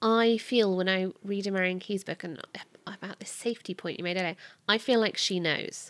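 A woman with a normal speaking voice talks at a medium pitch and moderate pace, her intonation fairly even but her loudness swinging widely, on a very clean recording with a silent background. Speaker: podcast host. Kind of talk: casual chat.

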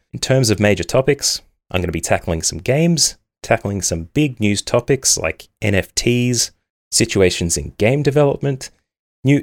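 On a very clean recording with a silent background, a man speaks with an Australian accent. His pace is fairly quick and his intonation lively. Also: dry, close sound with no echo. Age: 30s. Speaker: gaming podcast host. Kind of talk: solo podcast monologue.

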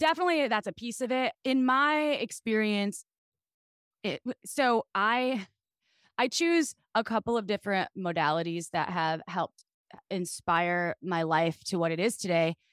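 In a very clean recording with a silent background, a woman with an American accent speaks at a moderate pace and medium pitch, animated, with very wide pitch swings. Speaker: sex podcast host and sex toy executive. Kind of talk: casual chat.

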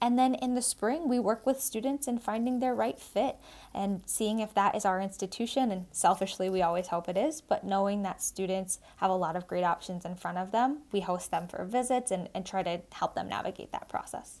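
A woman's ordinary speaking voice with an American accent, medium pitch and ordinary pitch variation, at a fairly quick pace with hardly any pauses, on a very clean recording with a silent background. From Massachusetts, South Shore. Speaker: college admissions officer. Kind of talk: interview.

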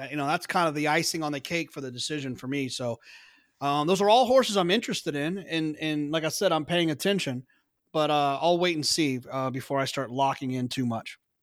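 With an American accent, a man talks at a fairly high pitch and ordinary pitch movement, recorded very cleanly against a silent background. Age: 30s. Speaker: horse racing podcaster and pro horse player. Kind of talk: casual interview. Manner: halting, many repetitions and fillers.

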